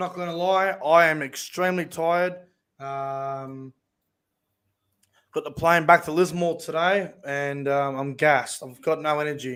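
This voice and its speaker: Recorded very cleanly against a silent background, a man with an Australian accent talks at a fairly slow pace in a fairly high pitch, his intonation fairly even. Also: big swings in loudness. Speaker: rugby league YouTuber. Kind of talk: casual live stream chat.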